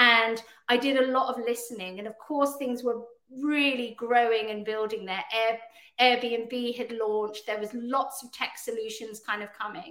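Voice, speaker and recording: Fairly high-pitched woman, bright and sharp in tone, monotone and flat, moderate pace, big swings in loudness. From Hong Kong and England. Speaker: business owner in travel industry. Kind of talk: casual interview chat.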